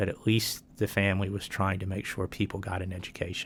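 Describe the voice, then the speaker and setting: In a Virginian accent, a man speaks in a flat monotone. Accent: Virginian American. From Roanoke, Virginia. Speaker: retired law professor. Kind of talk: oral history interview answer.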